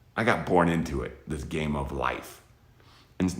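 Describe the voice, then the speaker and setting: A man with a very deep, low pitch and vocal fry talks at a moderate pace with ordinary pitch variation, and the room echo is audible. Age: 50s. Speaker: military veteran and space educator. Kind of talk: motivational talk to children. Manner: casual, conversational, with restarts.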